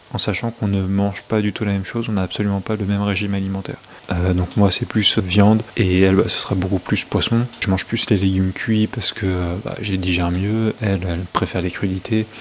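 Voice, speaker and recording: Over noticeable background noise, a man with a fairly low pitch speaks fairly quickly in a flat monotone with hardly any pauses. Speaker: fitness and nutrition vlogger. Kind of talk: casual vlog monologue. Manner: hesitant, many fillers; speaking softly.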